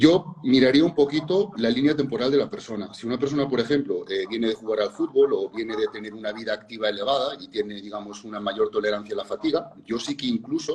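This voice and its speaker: The speaker talks at a very fast pace with hardly any pauses and lively intonation. Noticeable background noise runs under the voice. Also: man, medium pitch for a man. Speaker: fitness and nutrition educator. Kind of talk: interview conversation.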